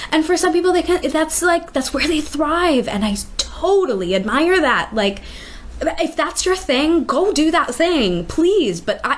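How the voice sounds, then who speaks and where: Over noticeable background noise, a woman with an American accent talks at a fairly slow pace in an extremely high pitch. Her intonation is lively, while her loudness stays very even. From Minnesota, Minneapolis suburbs. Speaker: theater artist. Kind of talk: casual chat. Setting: in-person sit-down. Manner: animated.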